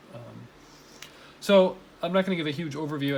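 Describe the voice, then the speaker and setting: A man mumbling at a very fast pace amid audible room echo. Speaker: college teacher. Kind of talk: tutorial. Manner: casual, filler-heavy.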